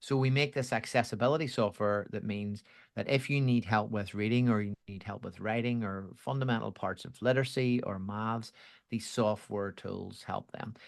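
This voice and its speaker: A man with a Belfast accent at a moderate pace, fairly even in intonation, against a quiet background. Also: medium pitch for a man. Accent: Belfast Irish. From Northern Ireland, Belfast. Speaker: education executive at a software company. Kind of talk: podcast interview.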